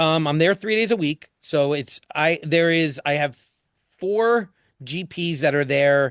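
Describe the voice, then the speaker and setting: Here a man talks with an American accent and ordinary pitch variation. The sound is dry and close with no echo, over a quiet background. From New Jersey, US East Coast. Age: 50s. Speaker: dentist and educator. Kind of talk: podcast interview. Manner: animated.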